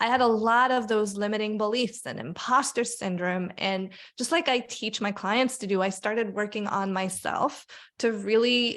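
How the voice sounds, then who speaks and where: Speaking with a non-native accent, a woman uses a fairly high pitch, ordinary pitch variation and a moderate pace. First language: not English. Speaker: career coach and author. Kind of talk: podcast interview. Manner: animated.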